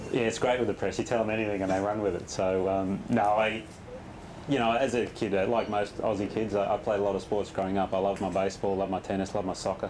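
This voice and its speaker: A man's fairly low, very fast voice with an Australian accent, monotone, flat intonation and very even loudness, over light background noise. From Western Australia, Perth. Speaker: professional golfer. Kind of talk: interview. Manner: halting, many repetitions and fillers. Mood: relaxed, friendly. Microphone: lapel.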